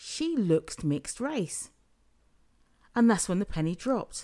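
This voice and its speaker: Fairly slow speech in a British accent with a dark, mellow tone and very wide pitch swings. The recording is very clean, with a silent background. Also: woman. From UK. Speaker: podcast host. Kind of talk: solo podcast monologue.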